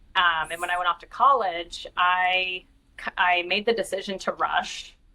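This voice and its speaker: A woman speaks in a Pacific Northwest accent at medium pitch. Her tone is bright and sharp, and her intonation fairly even. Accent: non-Boston, Pacific Northwest American. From northern Idaho, US Pacific Northwest. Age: 40s. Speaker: corporate executive. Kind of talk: interview.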